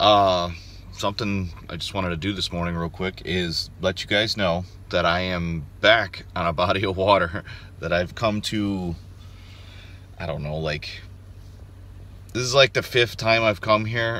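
A man with a very deep, low pitch and a bright, sharp tone speaks at a fairly slow pace with long, frequent pauses, ordinary pitch variation and big swings in loudness, in a dry sound with no echo. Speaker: outdoors vlogger. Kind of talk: casual vlog chat. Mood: upbeat, hopeful. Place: car. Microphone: phone near.

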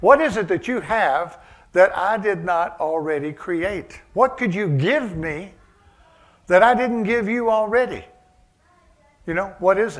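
With lively intonation and long, frequent pauses, a man speaks at a fairly slow pace in a high voice against a quiet background. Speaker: preacher. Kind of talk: sermon. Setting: church service, also streamed to online viewers. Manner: conversational, with frequent fillers and chuckles. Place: church.

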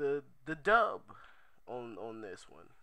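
This man speaks at a very slow pace, his tone bright and sharp. The background is quiet. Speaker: vlogger. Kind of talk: casual vlog chat. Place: home room. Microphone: headset.

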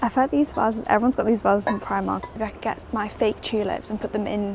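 Music plays in the background as a woman talks at a very fast pace, the sound dry with no echo. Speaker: vlogger. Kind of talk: casual vlog chat. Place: shop. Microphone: lapel.

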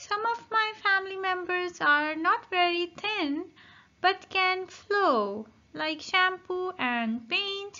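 In a put-on character voice, a woman speaks at a very slow pace with an extremely high pitch. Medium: read story. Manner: friendly, explanatory.

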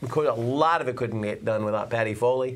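Against light background noise, a man talks at a very fast pace with ordinary pitch variation. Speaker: local TV show co-host. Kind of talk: talk show chat. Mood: warm, grateful, joking. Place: studio.

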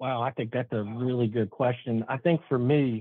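An American man with a plain, everyday voice talks at a moderate pace and medium pitch, with fairly even intonation. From US South, Charlotte, North Carolina. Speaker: municipal safety and risk manager. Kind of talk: interview.

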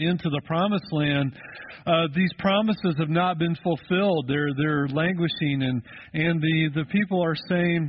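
Light background noise accompanies a man speaking with ordinary pitch variation. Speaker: pastor. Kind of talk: sermon. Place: church.

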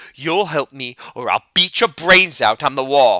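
A man puts on a growling character voice at a fairly high pitch. He keeps a moderate pace with lively intonation. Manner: threatening.

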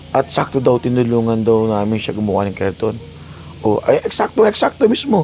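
A man talks at a fairly quick pace with noticeable noise in the background. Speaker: vlogger. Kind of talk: vlog narration. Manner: loud.

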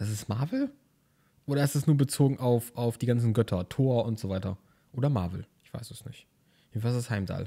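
Here a man talks in a medium pitch with a dark, mellow tone that is somewhat breathy. His pace is moderate and his pitch variation ordinary. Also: very clean recording, silent background. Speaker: gaming YouTuber. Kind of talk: let's play commentary. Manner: animated.

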